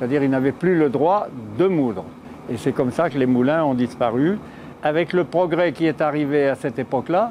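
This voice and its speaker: Against noticeable background noise, a man talks at a fairly quick pace with a fairly high pitch and ordinary pitch variation. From central France, Auvergne / Bourbonnais. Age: 80s+. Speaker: miller. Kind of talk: interview testimony. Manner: hesitant at times.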